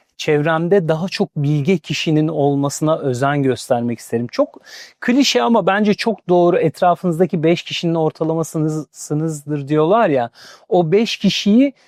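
Against a quiet background, a man with a normal speaking voice talks at a fairly slow pace, his fairly high pitch and lively intonation captured in a dry, close sound with no echo. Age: 40s. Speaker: career speaker. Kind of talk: interview.

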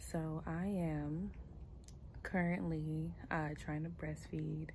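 A woman speaks softly and very slowly. Light background noise sits behind her. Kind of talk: casual vlog chat. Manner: soft, sleepy late-night new-mother voice. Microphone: phone near.

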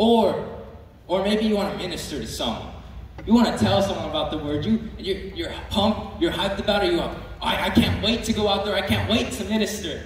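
A man talks at a high pitch and a fairly quick pace, with ordinary pitch variation. Strong room echo surrounds his voice. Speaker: youth preacher. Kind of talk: sermon. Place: hall.

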